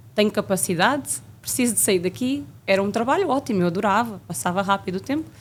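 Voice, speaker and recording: A woman talks at a very fast pace with vocal fry. Her pitch is medium with ordinary variation. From Portugal, Coimbra region. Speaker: flight attendant. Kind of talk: interview.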